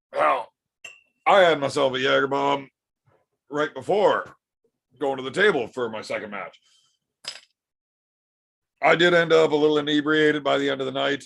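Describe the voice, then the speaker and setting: A man puts on a character voice, hoarse and raspy, with a fairly high pitch and ordinary pitch variation. He moves at a moderate pace with long, frequent pauses. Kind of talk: casual.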